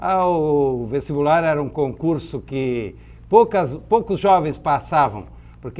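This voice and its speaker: A man speaks at a fairly slow pace. He has an ordinary speaking voice with lively intonation. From southern Brazil, Santa Catarina (Blumenau valley). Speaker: businessman. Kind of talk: interview.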